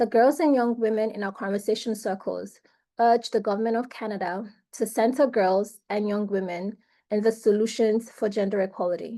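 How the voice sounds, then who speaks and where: A woman's fairly high pitch in a dark, mellow tone, with fairly even intonation at a moderate pace over a quiet background. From Nigeria. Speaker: youth delegate presenting a report. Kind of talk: prepared presentation.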